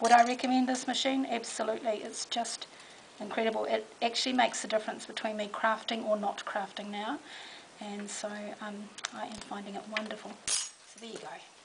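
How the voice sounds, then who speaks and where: A woman's fairly high voice comes through against noticeable background noise. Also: fairly even intonation, big swings in loudness. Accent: New Zealand. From New Zealand. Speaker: crafter demonstrating a product. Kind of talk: product demonstration. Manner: casual, hesitant with fillers.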